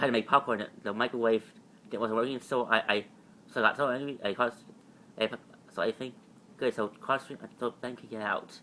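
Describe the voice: A man speaks at a fairly quick pace in a bright, sharp tone, his medium pitch held in a fairly even intonation.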